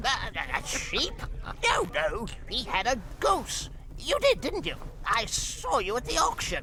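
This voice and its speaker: A cartoonish character voice talks at a fairly slow pace. Clear background noise is heard behind it. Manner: giggly.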